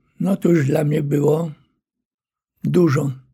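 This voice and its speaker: The man's voice has a dark, mellow tone. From Poland, Warsaw. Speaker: war veteran, retired colonel. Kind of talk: oral history testimony. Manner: halting, with fillers and repetitions.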